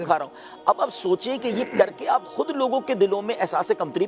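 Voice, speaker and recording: Music plays in the background. The speaker's intonation is lively. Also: man. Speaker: Islamic scholar. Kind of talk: interview answer.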